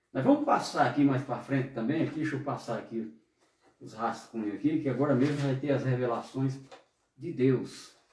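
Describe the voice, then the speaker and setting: Audible room echo surrounds this voice. It moves at a moderate pace with fairly even intonation. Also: man, medium pitch for a man. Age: 60s. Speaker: pastor. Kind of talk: sermon. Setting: online service broadcast.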